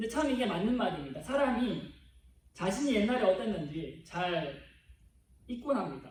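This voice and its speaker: In a room with audible echo, a man with a high voice speaks at a moderate pace, with very wide pitch swings and long, frequent pauses. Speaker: preacher. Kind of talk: sermon. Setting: church.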